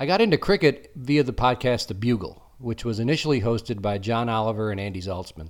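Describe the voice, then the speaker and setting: A man with a normal speaking voice and an American accent, medium in pitch, with ordinary pitch variation, a fairly quick pace, and a very clean recording against a silent background. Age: 50s. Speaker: podcast host. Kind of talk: scripted monologue.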